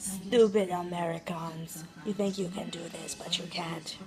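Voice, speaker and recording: Over clear background noise, someone performs a put-on character voice at a moderate pace. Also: female-sounding voice, fairly low pitch for a woman. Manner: mocking, disdainful.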